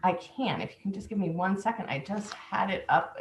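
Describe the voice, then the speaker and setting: A woman speaks at a moderate pace, at a medium pitch, with ordinary pitch variation. She has an unremarkable speaking voice. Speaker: testifier at legislative hearing. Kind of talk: public hearing testimony.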